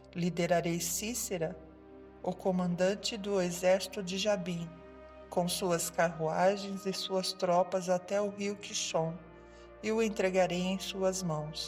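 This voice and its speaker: A woman at medium pitch speaks very slowly in a calm, soothing tone. Her intonation is flat and monotone, with music in the background. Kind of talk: sleep story narration.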